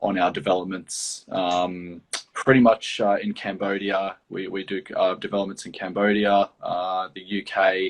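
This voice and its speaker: A man with an Australian accent talks at a fairly slow pace in a fairly low pitch, with monotone, flat intonation, big swings in loudness and hardly any pauses. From Australia, Gold Coast, Queensland. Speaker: property development professional. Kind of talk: interview. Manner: halting, many fillers.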